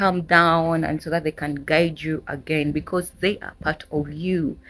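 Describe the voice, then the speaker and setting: On a very clean recording with a silent background, a woman with a Ugandan accent speaks fairly slowly in a fairly low, monotone, flat voice. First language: Luganda. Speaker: spiritual teacher. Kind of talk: tutorial. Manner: casual.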